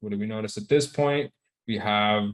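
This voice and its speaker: A man speaks with ordinary pitch variation. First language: Spanish. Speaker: trading instructor. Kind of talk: live online class. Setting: video call. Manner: casual, repetitive.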